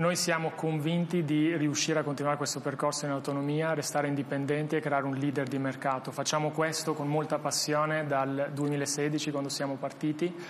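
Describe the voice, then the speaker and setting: In an Albanian accent, a man with a fairly high pitch talks with hardly any pauses and very even loudness. His intonation is flat and monotone, with noticeable background noise behind him. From Albania, moved to Italy at 16. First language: Albanian (speaking Italian). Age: 30s. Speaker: tech startup founder and CEO. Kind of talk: interview. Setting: studio. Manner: halting, frequent repetitions.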